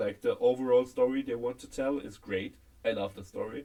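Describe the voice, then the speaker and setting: Speaking at a moderate pace, a man talks with a German accent. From Germany. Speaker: podcast co-host. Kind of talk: casual chat. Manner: halting.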